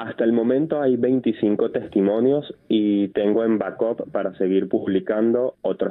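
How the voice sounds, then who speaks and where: An unremarkable speaking voice at a fairly slow pace with fairly even intonation. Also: man. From Venezuela. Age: young. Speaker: photojournalist. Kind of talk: phone interview. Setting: phone call.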